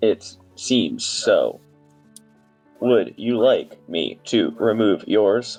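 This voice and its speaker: Using a put-on character voice, a man speaks at a very slow pace with long, frequent pauses while faint music plays in the background. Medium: actual play. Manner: blunt, few words.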